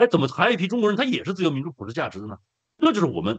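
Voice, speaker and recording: A man's voice with vocal fry and very wide pitch swings, dry with no echo, over a quiet background. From China. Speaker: activist; guest. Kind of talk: casual chat. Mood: earnest, some emotion. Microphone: video call.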